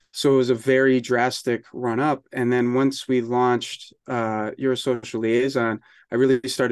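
A man speaks with an American accent at a medium pitch. His intonation is flat and monotone against a quiet background. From US Northeast, New York capital region. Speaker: magazine publisher and marketing business founder. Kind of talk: casual interview.

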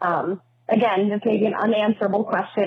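Noticeable background noise runs behind a woman as she talks. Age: 30s. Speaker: listener caller. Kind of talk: voicemail.

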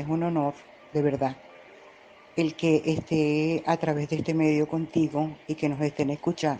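A woman with a very deep, low voice talks calmly at a fairly slow pace in a monotone, flat intonation. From Colombia, Medellín. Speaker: real estate agent and social media writer. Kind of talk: interview.

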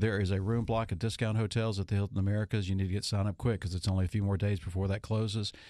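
In a Louisiana accent, a man with a fairly low pitch and a dark, mellow tone speaks at a very fast pace with monotone, flat intonation and very even loudness, on a very clean recording with a silent background. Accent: Louisiana Southern US. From Monroe, northern Louisiana. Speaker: radio host. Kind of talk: radio talk show; ad read.

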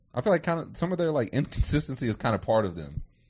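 Against a quiet background, a man speaks at medium pitch and a fairly quick pace. His tone is animated, with vocal fry. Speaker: podcast host. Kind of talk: casual chat.

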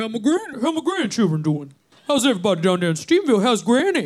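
The speaker uses a put-on character voice with a fairly high pitch. It swings very widely in pitch at a fairly quick pace. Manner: warm, friendly.

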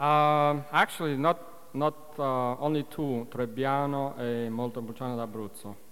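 Against noticeable background noise, a man with a non-native accent speaks at a fairly slow pace and medium pitch. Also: fairly even intonation. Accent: foreign-accented English. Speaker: winemaker. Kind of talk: wine tasting demonstration. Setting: stage with audience.

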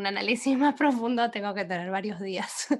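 Against a quiet background, a woman with a plain, everyday voice talks at a medium pitch and a fairly quick pace. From Argentina. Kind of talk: casual literary discussion.

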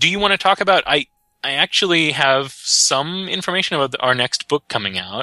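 A man's fairly high, bright, sharp voice with vocal fry, very wide pitch swings and a fairly quick pace, in a dry, close sound with no echo. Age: 30s. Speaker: tabletop game writer. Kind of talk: interview.

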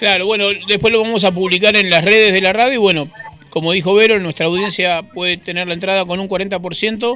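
Music plays in the background as a man with a high pitch speaks in a raised, projected voice. His pace is fairly quick and his intonation fairly even. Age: 50s. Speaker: radio host. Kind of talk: casual chat. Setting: studio.

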